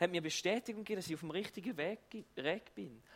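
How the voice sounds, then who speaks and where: A man talks at a very fast pace with ordinary pitch variation. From eastern Switzerland. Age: 30s. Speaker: pastor. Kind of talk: sermon.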